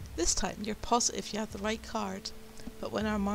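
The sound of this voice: Unforced voice, reading aloud.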